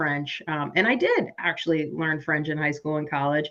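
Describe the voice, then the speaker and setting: A woman's very deep, low voice with a Midwestern accent, bright and sharp in tone, at a moderate pace. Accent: Midwest American. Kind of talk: panel discussion. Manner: casual.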